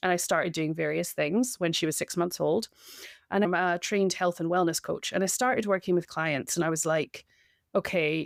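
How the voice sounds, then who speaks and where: A woman talks at a very fast pace with a medium pitch. The recording is very clean, with a silent background. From Scotland. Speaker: breathwork coach. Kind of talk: interview.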